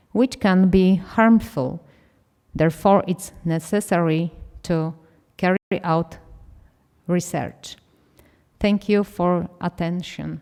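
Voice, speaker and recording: Very slow, fairly even speech in a dark, mellow tone, with a non-native accent and long, frequent pauses. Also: woman, fairly low pitch for a woman. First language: not English. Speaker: conference speaker, doctor. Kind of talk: conference presentation.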